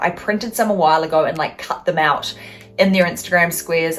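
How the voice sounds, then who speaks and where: Through noticeable background noise, a woman speaks very fast at a fairly low pitch. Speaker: recovery advocate vlogger. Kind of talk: casual Q&A vlog. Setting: at home. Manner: casual with many fillers.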